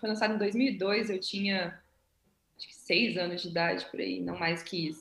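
At a moderate pace broken by long, frequent pauses, a woman speaks in a medium pitch with vocal fry and fairly even intonation. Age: 20s. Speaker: English teacher and violinist, astronaut candidate. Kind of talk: interview.

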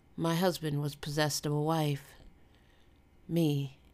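A woman with an American accent, very deep and low in pitch, monotone and flat, at a very slow pace on a very clean recording with a silent background. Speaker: podcast host and fiction author. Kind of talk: horror audiobook narration, hushed and eerie, read aloud.

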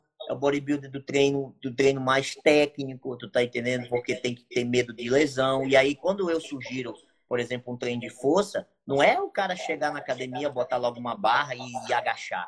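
Moderately paced speech from a man, medium in pitch, ordinary in pitch variation, with big swings in loudness. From Brazil, Amapá (Santana). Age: 30s. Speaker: bodybuilder and coach. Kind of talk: casual chat.

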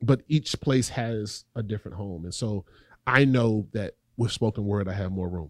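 A man speaks with a Southern US accent and a fairly low pitch. His pitch variation is ordinary, and the sound is dry and close with no echo. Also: moderate pace. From North Carolina, Raleigh. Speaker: poet and educator. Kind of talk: interview.

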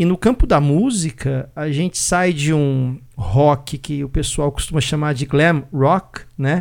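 The speech moves at a very slow pace, with ordinary pitch variation. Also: man, fairly high pitch for a man. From Brazil. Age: 40s. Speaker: podcast host. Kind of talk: casual chat.

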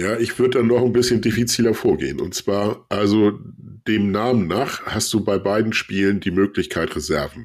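Here is a plain, everyday voice from a man with a fairly low pitch. He keeps a moderate pace. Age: 40s. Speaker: podcaster guest. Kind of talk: casual chat. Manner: formal.

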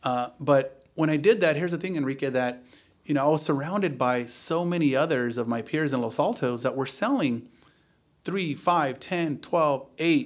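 On a very clean recording with a silent background, a man speaks in a normal speaking voice. His pitch is fairly high, with ordinary variation, and his pace is moderate. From US, Silicon Valley area of California (born in Mexico, moved at age 3). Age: 40s. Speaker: luxury real estate agent. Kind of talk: casual interview.

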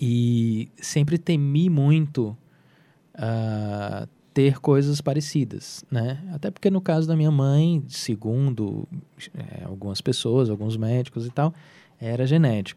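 Very slowly, a man speaks at a medium pitch in a dark, mellow tone with ordinary pitch variation, on a very clean recording with a silent background. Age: 40s. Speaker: comic artist and illustrator. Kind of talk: interview. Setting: studio.

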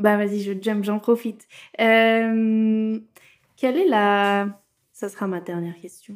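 On a very clean recording with a silent background, a woman with a fairly high pitch speaks at a very slow pace, with fairly even intonation, big swings in loudness and long, frequent pauses. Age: 20s. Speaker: podcast host. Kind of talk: casual interview chat. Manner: laughs often.

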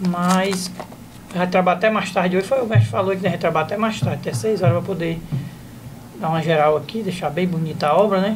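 A man's high voice, very fast yet broken by long, frequent pauses, with ordinary pitch variation and noticeable background noise. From Ceará, Brazil. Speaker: comedian. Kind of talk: casual chat.

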